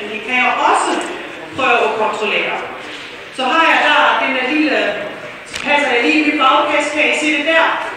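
A woman speaks in a high, raised and projected voice at a fairly slow pace with long, frequent pauses and ordinary pitch variation, over noticeable background noise and audible room echo. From Germany, south of Hamburg. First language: German (speaking Danish). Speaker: fly casting instructor. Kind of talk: demonstration talk.

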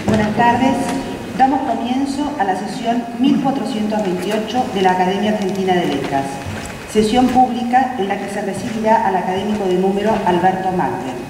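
Amid audible room echo and noticeable background noise, a woman talks at a moderate pace and a fairly high pitch with ordinary pitch variation. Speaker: ceremony announcer. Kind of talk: formal announcement. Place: hall. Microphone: podium.

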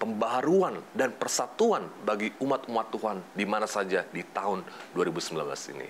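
Over light background noise, a man talks with lively intonation. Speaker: program co-host. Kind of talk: religious program hosting. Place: studio. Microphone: lapel.

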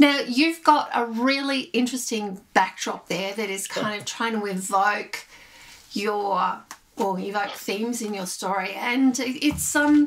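Against light background noise, a woman talks at a fairly slow pace with lively intonation. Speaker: podcast host. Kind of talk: interview question. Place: home room. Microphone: webcam.

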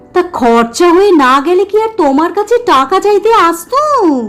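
A put-on character voice swings very widely in pitch at a moderate pace, with music playing in the background. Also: woman, extremely high pitch for a woman. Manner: angry, irritated.

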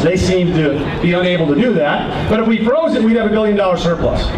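Amid audible room echo and noticeable background noise, a man talks at a fairly quick pace. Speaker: speaker. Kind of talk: political rally speech. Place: street.

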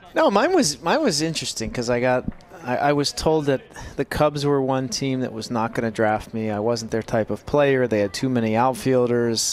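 A man speaks at a medium pitch. Noticeable background noise runs under his voice. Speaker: baseball color analyst, former player. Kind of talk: live sports commentary.

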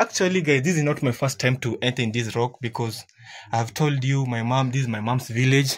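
At a moderate pace, a somewhat breathy man talks with fairly even intonation. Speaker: vlogger guide. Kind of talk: casual vlog tour commentary. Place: tunnel cave. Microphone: phone near.

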